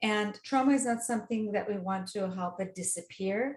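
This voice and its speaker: Somewhat breathy, a woman talks at a fairly slow pace. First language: not English. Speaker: dating coach. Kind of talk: interview. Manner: hesitant, with restarts and fillers.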